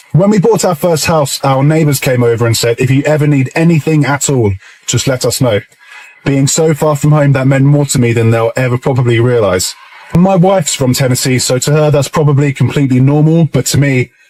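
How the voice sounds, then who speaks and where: Amid noticeable background noise, a man speaks fairly quickly at a fairly high pitch, with ordinary pitch variation and very even loudness. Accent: English. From England. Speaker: British expat vlogger. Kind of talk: casual vlog monologue.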